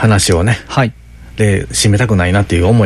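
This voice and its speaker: Over noticeable background noise, a man in a Kansai accent speaks with fairly low pitch and ordinary pitch variation. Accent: Kansai intonation. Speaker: podcast co-host. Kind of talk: casual chat.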